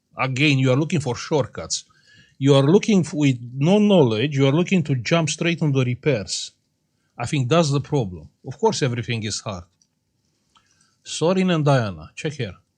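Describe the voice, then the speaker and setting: A man speaks somewhat breathy at a moderate pace, with fairly high pitch. His intonation is lively, and the background is quiet. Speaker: electronics repair youtuber. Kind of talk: casual chat.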